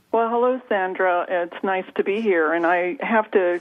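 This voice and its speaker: Over noticeable background noise, a woman speaks at a moderate pace with medium pitch and ordinary pitch variation. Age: 60s. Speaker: author and trauma coach. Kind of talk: radio interview. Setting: radio show.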